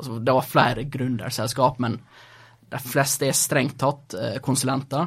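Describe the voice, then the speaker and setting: At a fairly slow pace, a man with a medium pitch speaks in a monotone, flat intonation, sounding somewhat breathy. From Norway, Sunnmøre (near Ålesund); born in Gothenburg, Sweden. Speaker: startup founder. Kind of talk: interview. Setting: studio.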